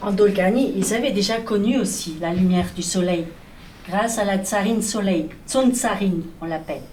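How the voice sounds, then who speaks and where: A woman's medium-pitched voice with ordinary pitch variation, a moderate pace and noticeable background noise. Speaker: storyteller. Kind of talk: children's storytelling performance.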